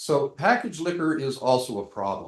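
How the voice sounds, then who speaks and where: A male speaker with audible room echo. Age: 60s. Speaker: business owner applicant. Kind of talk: public hearing testimony. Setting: council meeting. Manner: halting.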